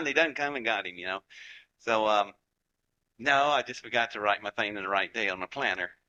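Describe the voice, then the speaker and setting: Against a quiet background, a man with a Southern US accent uses lively intonation and a bright, sharp tone, the sound dry and close with no echo. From Appalachia, West Virginia / Georgia. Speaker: rocket scientist. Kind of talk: lecture to live audience. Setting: stage with audience. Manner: animated.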